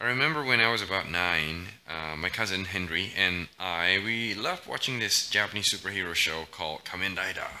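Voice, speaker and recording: Over noticeable background noise, a man with a very deep, low pitch talks at a fairly quick pace with ordinary pitch variation. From Indonesia (Pekanbaru, Batam). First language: Indonesian. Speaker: English teacher. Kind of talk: podcast monologue. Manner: casual, with many fillers. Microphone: poor audio quality.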